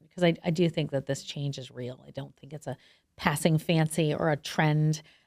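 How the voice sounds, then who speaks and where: With an animated tone and a very deep, low pitch, a woman speaks at a moderate pace with big swings in loudness on a very clean recording with a silent background. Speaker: TV journalist and menopause advocate. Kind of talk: podcast interview.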